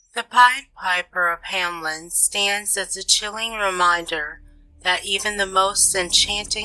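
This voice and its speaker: A woman talks at a fairly slow pace with fairly even intonation. Noticeable background noise can be heard. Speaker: horror podcast host. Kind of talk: scripted true-crime horror narration. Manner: slow, hushed, ominous storyteller delivery with dramatic pauses; theatrical and chilling, building suspense.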